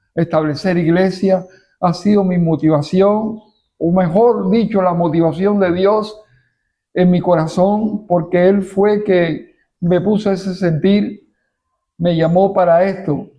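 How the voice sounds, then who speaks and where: A man speaks very slowly in a high voice, his intonation fairly even and his loudness very even. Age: 70s. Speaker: pastor. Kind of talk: testimony. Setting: church.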